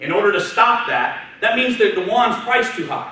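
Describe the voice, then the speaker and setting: A loud man with lively intonation, plus audible room echo and noticeable background noise. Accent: American. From Texas, Houston area. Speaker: trader, guest speaker. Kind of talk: talk to students. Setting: university lecture room with audience. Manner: fast.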